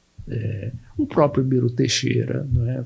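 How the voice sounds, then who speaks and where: A man speaks at a fairly slow pace. His medium-pitched voice is somewhat breathy. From Brazil, Ceará (Sobral). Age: 70s. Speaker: veteran journalist. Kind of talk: interview. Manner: halting, repetitive.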